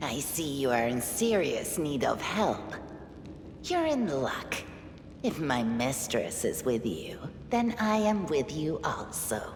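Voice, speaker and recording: A put-on character voice at a middle pitch moves at a fairly slow pace against clear background noise. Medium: video game. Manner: formal, composed.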